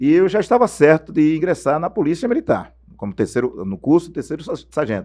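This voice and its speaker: Very fast and fairly high, a man's voice shows vocal fry and very wide pitch swings. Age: 60s. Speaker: former radio sports narrator. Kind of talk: interview storytelling.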